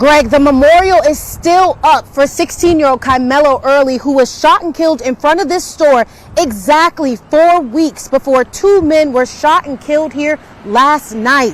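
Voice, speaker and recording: The speech moves at a moderate pace with ordinary pitch variation and hardly any pauses. Noticeable background noise is present. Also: woman. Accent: American. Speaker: television news reporter and anchor. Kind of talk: live TV news reporting.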